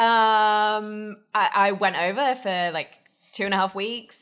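In a very clean recording with a silent background, a woman with an American accent and a plain, everyday voice speaks at a medium pitch with fairly even intonation. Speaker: guest whisky taster. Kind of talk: casual chat.

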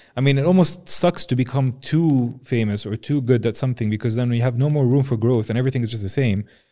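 In an Arabic accent, a man talks at a very fast pace with hardly any pauses, his medium-pitched voice dark and mellow in tone with ordinary pitch variation, on a very clean recording with a silent background. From Jordan. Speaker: podcast host. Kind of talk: casual interview. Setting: studio.

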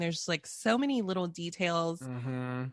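An unremarkable speaking voice moves at a moderate pace, with a dry, close sound with no echo and a quiet background. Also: woman. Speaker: podcaster guest. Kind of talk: casual chat.

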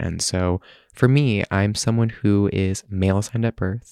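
A man with an ordinary speaking voice talks at a moderate pace with a fairly low pitch and fairly even intonation. The sound is dry and close with no echo, over a quiet background. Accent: American. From US Midwest, Michigan. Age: 20s. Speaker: LGBTQ advocate and nonprofit director. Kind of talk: interview.

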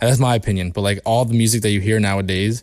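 In a very clean recording with a silent background, a man with a normal speaking voice speaks at a fairly low pitch with fairly even intonation. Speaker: musician. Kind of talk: casual chat.

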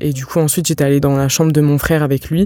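The tone is dark and mellow, and the intonation stays monotone and flat. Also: woman. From eastern France, Franche-Comté. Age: 20s. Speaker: sociology student. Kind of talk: personal testimony interview. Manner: halting, many hesitations.

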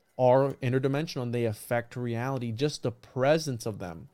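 Speaking at a fairly quick pace, a man uses a normal speaking voice of medium pitch with fairly even intonation. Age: 20s. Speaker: podcast host. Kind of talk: interview.

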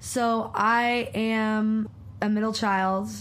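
Room echo can be heard around the woman who is speaking. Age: 20s. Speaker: mindfulness and yoga teacher. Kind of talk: casual chat.

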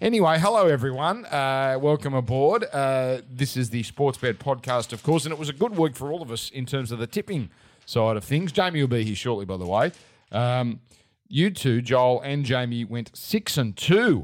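A man speaks at a moderate pace and medium pitch with an Australian accent. His intonation is lively, and the recording is very clean with a silent background. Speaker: sports betting podcast host. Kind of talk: casual sports betting chat.

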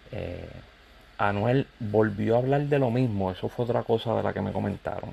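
With a Puerto Rican accent, a man speaks at a fairly slow pace and a fairly low pitch, his tone dark and mellow and his intonation lively. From Puerto Rico. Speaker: YouTuber and music commentator. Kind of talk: casual vlog commentary.

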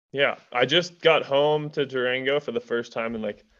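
A man's ordinary speaking voice at a moderate pace, with fairly even intonation. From Colorado, US. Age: 20s. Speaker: professional mountain biker. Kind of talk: casual interview chat.

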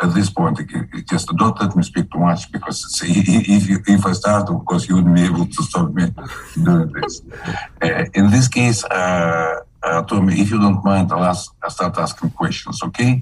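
Over noticeable background noise, a man with a very deep, low pitch talks at a moderate pace with ordinary pitch variation. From Kazakhstan. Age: 70s. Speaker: physician and microbiologist. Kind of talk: interview. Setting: video call. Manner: halting.

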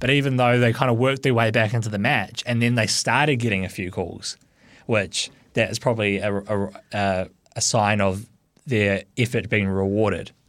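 On a very clean recording with a silent background, a man speaks at a fairly low pitch and moderate pace with fairly even intonation. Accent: New Zealand. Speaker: rugby league pundit. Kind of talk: sports talk radio.

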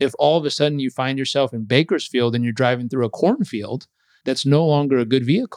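A very fast man with an American accent, recorded with a dry, close sound and no echo. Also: medium pitch for a man, ordinary pitch variation. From Southern California. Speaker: performance coach and author. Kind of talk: interview conversation.

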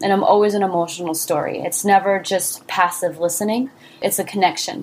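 This woman has an unremarkable speaking voice and fairly even intonation. She talks at a fairly quick pace. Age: 20s. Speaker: singer-songwriter and entrepreneur. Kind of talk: interview.

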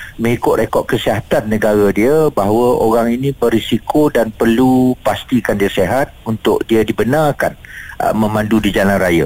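A man's voice at a medium pitch, with ordinary pitch variation and a fairly slow pace. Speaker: driving institute association president. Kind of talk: radio interview. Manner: halting.

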